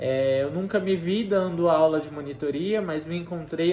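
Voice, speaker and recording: Noticeable background noise runs under a voice whose pitch varies in an ordinary way. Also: man. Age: 20s. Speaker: university student tutor. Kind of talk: personal testimony.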